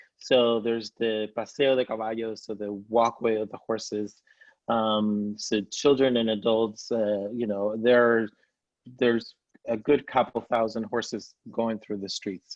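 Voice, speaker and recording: A man's medium-pitched voice with a Spanish accent, at a fairly slow pace in a monotone, flat intonation. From Spain, Seville (Andalusia). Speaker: travel guide. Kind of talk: presentation.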